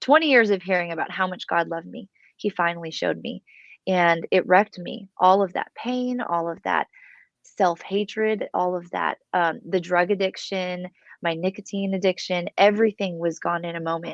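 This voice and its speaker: A woman speaks at a moderate pace in a normal speaking voice, her medium pitch held in a fairly even intonation. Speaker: worship leader. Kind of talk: testimony.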